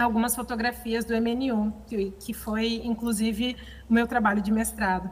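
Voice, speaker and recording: At a moderate pace, a woman speaks at a fairly high pitch in a monotone, flat intonation. Noticeable background noise runs behind her. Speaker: conservator-restorer and audio describer. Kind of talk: seminar talk. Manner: halting, many fillers.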